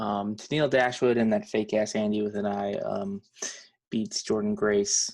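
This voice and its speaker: A man speaks in a flat monotone. His pitch sits fairly low. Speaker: wrestling podcast host. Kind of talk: casual chat. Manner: fast.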